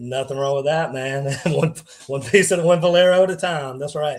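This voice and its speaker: With ordinary pitch variation, a man talks at a fairly high pitch in a somewhat breathy voice. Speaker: podcast host. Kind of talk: casual interview chat. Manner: fast.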